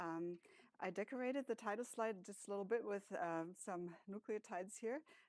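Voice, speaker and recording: Lively intonation and a German accent mark this moderately paced speech, heard with a dry, close sound and no echo. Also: woman. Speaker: professor, speech and hearing researcher. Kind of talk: academic panel talk with slides.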